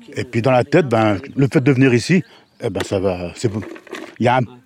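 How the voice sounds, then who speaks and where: Noticeable background noise sits behind a man speaking at a fairly quick pace. His medium-pitched voice shows ordinary pitch variation. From Brittany, France (Dinan area). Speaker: unemployed volunteer, former pig farm worker. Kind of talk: field interview.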